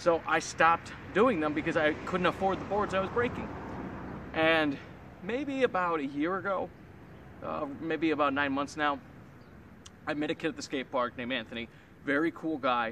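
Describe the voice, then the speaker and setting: Light background noise sits behind a man with a fairly high pitch who speaks at a moderate pace with long, frequent pauses, the sound dry with no echo. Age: 20s. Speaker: amateur skateboarder vlogger. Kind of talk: casual vlog. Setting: outdoors at skate spot. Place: street. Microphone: camera far.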